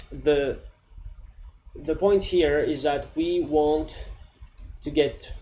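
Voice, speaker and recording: Noticeable noise and audible room echo both come through in this clip. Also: man. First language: not English. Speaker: coding tutorial creator. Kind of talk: tutorial. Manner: casual, with fillers and restarts.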